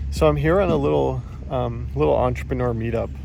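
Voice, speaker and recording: This man, with a very deep, low pitch, talks fairly quickly as noticeable background noise runs behind him. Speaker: podcaster. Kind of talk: casual podcast talk recorded outdoors. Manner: rambling, hesitant.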